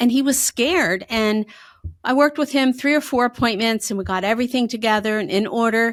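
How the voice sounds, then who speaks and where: A fairly high-pitched woman's voice with a slight Pennsylvania accent, a fairly quick pace and ordinary pitch variation, in a very clean recording with a silent background. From Pennsylvania, north of Harrisburg. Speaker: financial advisor. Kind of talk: podcast interview.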